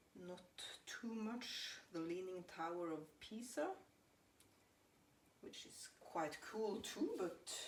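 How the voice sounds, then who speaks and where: A woman with a Norwegian accent speaks at a very slow pace and a medium pitch, with very wide pitch swings and audible room echo. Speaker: home baker. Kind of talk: casual chat. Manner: halting.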